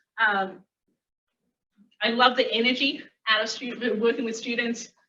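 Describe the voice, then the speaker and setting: Amid audible room echo, a woman with a fairly high pitch and a bright, sharp tone speaks at a moderate pace in a monotone, flat intonation. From Australia. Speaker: physics academic. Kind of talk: lecture. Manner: halting, many fillers.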